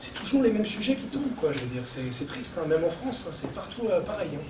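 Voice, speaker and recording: Noticeable background noise and audible room echo accompany a man speaking at a high pitch. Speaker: writer and journalist. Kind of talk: book launch talk. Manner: fast; animated.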